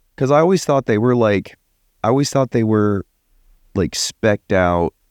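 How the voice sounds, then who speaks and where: A man speaks with a Texan accent at a fairly low pitch and a moderate pace. His pitch swings very widely, and the sound is dry and close with no echo. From Texas. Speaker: podcast co-host. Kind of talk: casual chat. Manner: laughs often.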